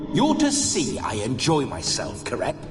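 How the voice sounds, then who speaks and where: With loud music in the background, a man performs a cartoonish character voice at a moderate pace. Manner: bawdy, flamboyant.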